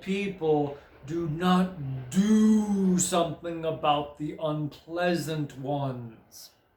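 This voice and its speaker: Resonant and at a middle pitch, a put-on character voice moves at a very slow pace with a slight echo. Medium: read story. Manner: severe.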